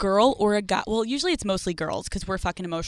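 Lively intonation colors this plain reading aloud.

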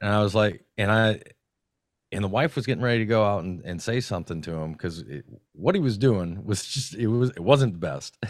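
Here a man with an ordinary speaking voice talks in an American accent, fairly low in pitch and at a fairly quick pace. His intonation is lively, and the recording is very clean with a silent background. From Minnesota. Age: 40s. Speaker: content creator. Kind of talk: casual chat.

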